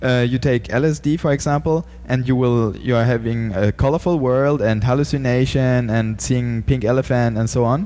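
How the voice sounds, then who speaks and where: A man with a German accent speaks at a moderate pace with hardly any pauses, keeping a very even loudness and ordinary pitch variation. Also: medium pitch for a man. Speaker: podcast host. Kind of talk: interview. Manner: halting.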